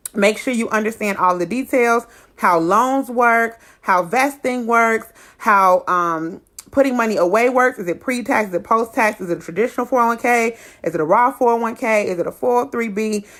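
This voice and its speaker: A woman with a fairly high pitch and ordinary pitch variation in a very clean recording with a silent background. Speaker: insurance educator vlogger. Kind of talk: informational tutorial. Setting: solo livestream on laptop. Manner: fast.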